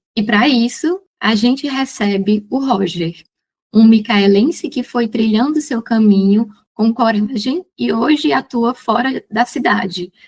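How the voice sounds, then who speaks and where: At a very slow pace, a woman speaks with a somewhat breathy voice, a fairly high pitch and ordinary pitch variation. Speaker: podcast host. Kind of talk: scripted intro and interview.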